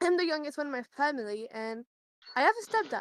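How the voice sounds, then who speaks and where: A woman speaks at a high pitch with very wide pitch swings. The sound is dry and close, with no echo. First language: French. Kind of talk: casual chat.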